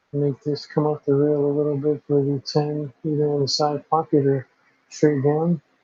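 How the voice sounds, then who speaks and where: A somewhat breathy, dark and mellow voice with an American accent, flat monotone intonation and a moderate pace, in a dry, close sound with no echo. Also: man, fairly high pitch for a man. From Southern California, Los Angeles area. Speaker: pool commentator. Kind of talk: live commentary.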